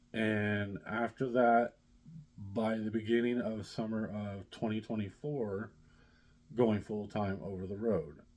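A man with an American accent speaks at a very slow pace and fairly low pitch, his intonation fairly even. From US Midwest, southern Indiana. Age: 40s. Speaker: vlogger, blue-collar worker; vlogger. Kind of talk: casual vlog chat. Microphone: phone near.

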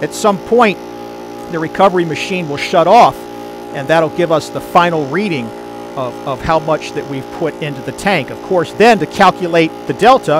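Clear music plays in the background while the speech moves at a moderate pace. The sound is dry with no echo. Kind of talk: tutorial. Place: garage. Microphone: phone near.

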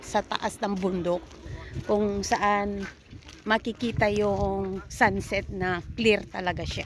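A woman with a medium pitch talks very slowly, showing ordinary pitch variation. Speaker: vlogger and hotel worker. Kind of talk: travel vlog. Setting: outdoors. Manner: animated.

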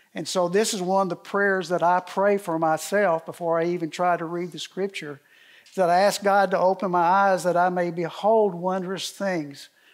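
Against a quiet background, a man with a high voice talks at a moderate pace in a monotone, flat intonation. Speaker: speaker. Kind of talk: sermon. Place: hall.

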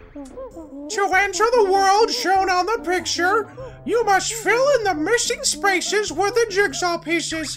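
A man puts on a character voice at a fairly slow pace, with clear background noise behind him. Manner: helpful, instructive, excited.

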